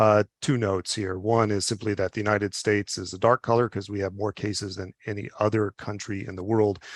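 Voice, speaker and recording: A man's fairly low-pitched, monotone voice at a fairly quick pace, dry and close with no echo against a quiet background. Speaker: physician and public health official. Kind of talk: webinar presentation. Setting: webinar. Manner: fast; halting, many fillers.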